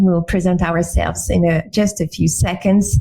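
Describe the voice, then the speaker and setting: Speaking at a fairly slow pace with a French accent, a woman is heard over noticeable background noise. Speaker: webinar host, UX designer. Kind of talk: webinar presentation. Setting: online webinar. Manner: hesitant with fillers.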